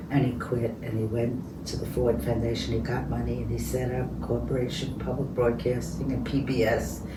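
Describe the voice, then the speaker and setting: The speaker has a New York accent and keeps a moderate pace with hardly any pauses. Noticeable background noise runs underneath. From New York City, the Bronx. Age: 80s+. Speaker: peace activist. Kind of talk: interview.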